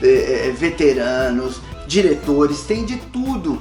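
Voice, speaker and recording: A man speaks with music in the background. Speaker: voice actor and dubbing director. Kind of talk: casual talk to camera, advice to aspiring voice actors.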